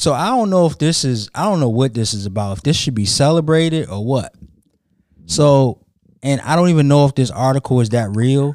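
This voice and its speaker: Here is a man with an ordinary speaking voice and an American accent. He talks at medium pitch and a fairly quick pace, with lively intonation. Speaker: podcast host. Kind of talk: casual banter between co-hosts.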